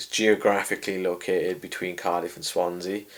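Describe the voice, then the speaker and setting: A man is speaking. He has a South Welsh accent. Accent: south Welsh valleys. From Wales, Rhondda valleys. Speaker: boxing and MMA ring announcer. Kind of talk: interview. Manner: loud, chatty.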